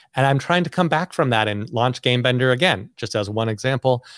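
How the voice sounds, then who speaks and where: A man at medium pitch talks at a moderate pace with lively intonation. The very clean recording has a silent background and a dry, close sound with no echo. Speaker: inventor and toy company founder. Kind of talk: casual interview. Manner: animated.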